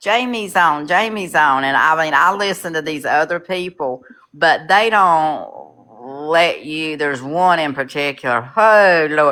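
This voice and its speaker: A woman speaks in a Southern US accent at a fairly slow pace. Her very deep, low pitch has a bright, sharp tone and ordinary pitch variation. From North Carolina, Charlotte. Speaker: caller. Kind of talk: casual chat.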